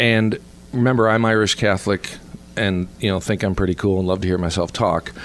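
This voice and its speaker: A man's fairly low-pitched voice at a fairly quick pace, with ordinary pitch variation and very even loudness, over noticeable background noise. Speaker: comedy theater owner and keynote speaker. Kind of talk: casual interview chat. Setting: restaurant. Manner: energetic.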